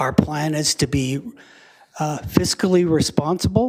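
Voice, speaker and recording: This man has an ordinary speaking voice with a Canadian accent and a fairly high pitch. He keeps a moderate pace and ordinary pitch variation. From Canada, Lethbridge, Alberta. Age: 60s. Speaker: school division official. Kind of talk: council meeting presentation.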